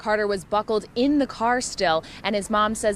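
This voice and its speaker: A woman's plain, everyday voice at a medium pitch, moderate pace and ordinary pitch variation. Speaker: TV news reporter and weekend morning anchor. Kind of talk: TV news reporting and anchoring.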